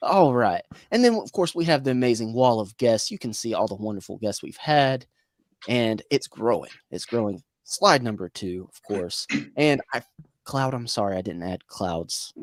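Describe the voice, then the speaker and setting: A man with an American accent talks at a medium pitch and a moderate pace, using lively intonation and big swings in loudness, with a dry, close sound with no echo. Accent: Southern US, self-described hick. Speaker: livestream host. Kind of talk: casual chat. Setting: livestream video call. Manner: animated.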